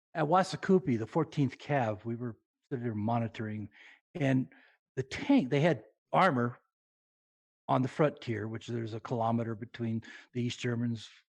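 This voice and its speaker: A somewhat breathy man talks fairly quickly at a medium pitch with ordinary pitch variation, in a dry, close sound with no echo. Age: 70s. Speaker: military veteran and gaming community creator. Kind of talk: casual interview chat. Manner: halting, many fillers.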